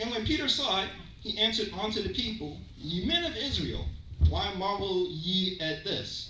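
A man speaks in an animated tone at a moderate pace, with light background noise and audible room echo. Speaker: preacher. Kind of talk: sermon with call-and-response. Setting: church. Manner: animated, exclamatory, rhythmic pulpit delivery with interjections; audience-interactive, pausing for amens. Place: church.

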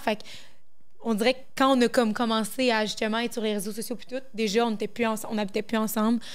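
A woman speaks with a Quebec accent at a fairly quick pace. Her fairly high voice stays monotone and flat. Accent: Québécois French. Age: 20s. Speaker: content creator. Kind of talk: casual chat. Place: studio. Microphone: handheld.

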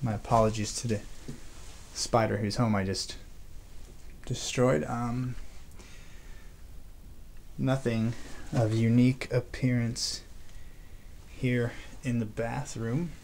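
With light background noise, a man speaks at a very slow pace, leaving long, frequent pauses, his intonation fairly even. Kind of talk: exploration commentary. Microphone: phone near.

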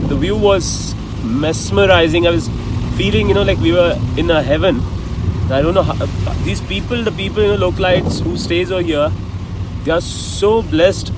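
The speech moves at a moderate pace with long, frequent pauses. The sound is dry with no echo, and loud background noise runs underneath. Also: man. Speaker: travel vlogger. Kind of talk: casual vlog chat. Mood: reflective, earnest. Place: car. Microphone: phone near.

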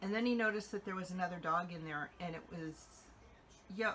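Against light background noise, a woman with a fairly low pitch speaks in a bright, sharp tone with ordinary pitch variation. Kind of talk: casual vlog chat. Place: home room. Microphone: phone near.

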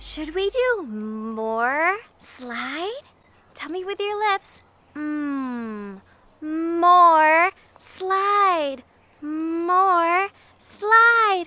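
A woman uses a raised, projected voice at an extremely high pitch, moving very slowly with very wide pitch swings and an upbeat tone. The sound is dry with no echo. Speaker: preschool music teacher. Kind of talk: children's educational show host talk. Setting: outdoors. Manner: upbeat, slow, exaggerated and clear for toddlers. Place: garden.

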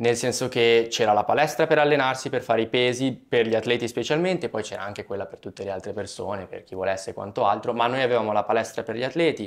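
Rushing at a very fast pace with hardly any pauses, a man with a medium-pitched voice swings widely in loudness over a quiet background. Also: ordinary pitch variation. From Italy. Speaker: student athlete; interviewee. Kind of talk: interview. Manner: hesitant, many fillers. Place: studio.

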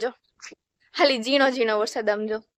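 Recorded against a quiet background, a woman's voice sounds dry and close, with no echo. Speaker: village vlogger. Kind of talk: casual vlog narration. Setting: outdoors.

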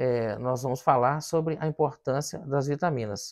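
In a quiet background, a man talks at a fairly slow pace and medium pitch. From Brazil. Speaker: physician, hematologist; presenter. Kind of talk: health education talk to camera; educational talk to camera. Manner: casual, with many filler words. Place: studio. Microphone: lapel.

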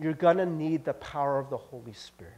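A dark, mellow tone with an American accent. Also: man. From US Midwest, Cincinnati; Ohio. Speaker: pastor. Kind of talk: sermon. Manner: casual, halting with fillers. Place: church. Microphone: headset.

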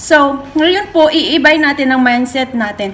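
A woman's high voice at a fairly slow pace with ordinary pitch variation. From Philippines. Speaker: overseas worker vlogger. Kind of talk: advice vlog monologue. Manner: halting. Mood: warm, earnest, smiling. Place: home room. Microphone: phone near.

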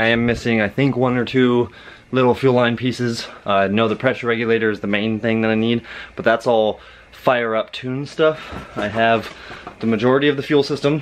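There is light background noise behind this man. He speaks at a fairly quick pace with fairly even intonation. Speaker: car hobbyist vlogger. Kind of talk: casual vlog chat. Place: garage. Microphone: phone near.

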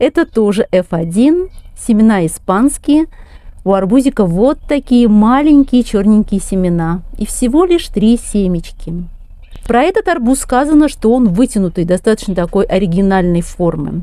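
A woman's dark, mellow tone at a fairly high pitch, with very wide pitch swings, a fairly slow pace, a dry sound with no echo and a quiet background. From rural Russia. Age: 50s. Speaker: gardening vlogger. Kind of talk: tutorial. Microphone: phone near.

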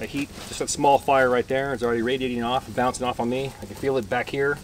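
With a monotone, flat intonation, a man races along at a very fast pace in a dry sound with no echo and light background noise. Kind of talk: casual vlog chat. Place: forest. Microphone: camera far.

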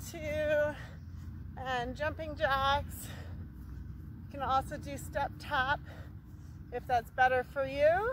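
Dry with no echo and over light background noise, a woman speaks very slowly with long, frequent pauses. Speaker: fitness instructor. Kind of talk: workout instruction. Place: open country.

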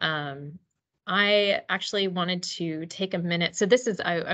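The pitch moves in an ordinary way, and the surroundings are quiet. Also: woman. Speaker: presenter. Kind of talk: lecture. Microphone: video call.

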